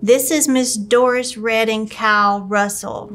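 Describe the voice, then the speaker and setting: With a Louisiana accent, a woman speaks at a fairly high pitch in a monotone, flat intonation. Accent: US Southern, Louisiana. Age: 50s. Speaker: local elected official. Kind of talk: casual interview.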